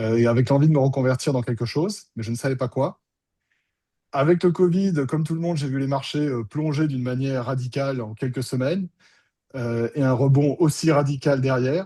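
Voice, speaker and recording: Dark, mellow tone from a man at a fairly high pitch, with a fairly quick pace and ordinary pitch variation. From France, Bordeaux. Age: 50s. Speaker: options trader, former student. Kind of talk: testimony interview. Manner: conversational, some hesitations.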